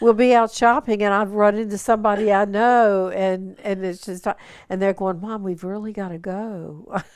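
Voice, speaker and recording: With a slight Southern US accent, a woman speaks at medium pitch and a moderate pace, her intonation fairly even. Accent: slight Southern twang. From US South. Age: 70s. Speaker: retired nurse. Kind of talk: casual interview.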